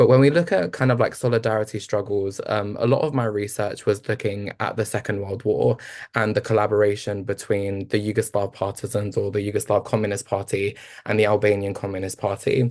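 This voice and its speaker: A man with a London accent, fairly low in pitch, fairly even in intonation, at a fairly quick pace. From East London. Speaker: researcher and panelist. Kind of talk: panel discussion. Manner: halting, many fillers.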